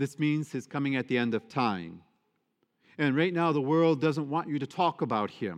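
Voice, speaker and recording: Speaking in an unremarkable speaking voice with an American accent, a man uses lively intonation at a fairly high pitch and a moderate pace. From Michigan, US Midwest. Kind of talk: sermon; parish announcements. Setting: church.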